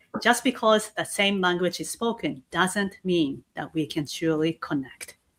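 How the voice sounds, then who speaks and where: This woman has a Japanese accent and a medium-pitched voice, speaking at a moderate pace with ordinary pitch variation. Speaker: keynote speaker and host. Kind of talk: casual chat. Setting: livestream video call. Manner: halting.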